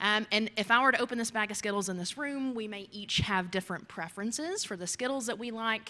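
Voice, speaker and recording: In a Kentucky accent, a woman with a bright, sharp tone speaks at a moderate pace with ordinary pitch variation. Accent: Kentucky accent, noticeable. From US, Kentucky. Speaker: geoscience researcher. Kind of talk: lecture. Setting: talk to a society audience.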